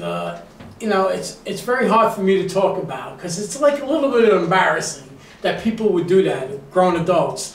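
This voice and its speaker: Light background noise and audible room echo surround a man's voice. He talks fairly quickly at a high pitch with lively intonation. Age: 50s. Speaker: music show host. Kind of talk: casual interview. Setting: studio. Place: studio.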